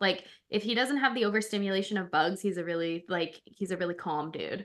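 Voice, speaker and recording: A loud woman at medium pitch, with a bright, sharp, animated tone and ordinary pitch variation. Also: quiet background. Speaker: life coach for pets and podcast co-host. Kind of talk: casual chat.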